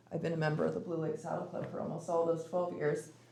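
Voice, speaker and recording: Audible room echo surrounds a woman whose voice sits very deep and low. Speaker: public commenter, mounted archery group leader. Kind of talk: public comment at city meeting. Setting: city commission meeting. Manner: halting, many fillers.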